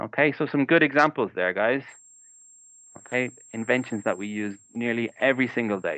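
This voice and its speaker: Speaking at a moderate pace with long, frequent pauses, a man with an Irish accent holds a medium pitch and ordinary pitch variation. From Ireland. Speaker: English teacher. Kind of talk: online class lesson.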